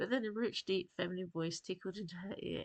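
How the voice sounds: With pitch that moves in a normal way, this is a natural reading voice.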